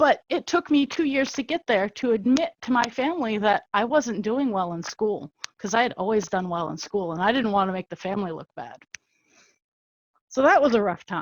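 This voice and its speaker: With very wide pitch swings, a woman speaks in a fairly high voice at a moderate pace. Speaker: podcast panel guest with ADHD. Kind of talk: group discussion. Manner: halting, with many repetitions.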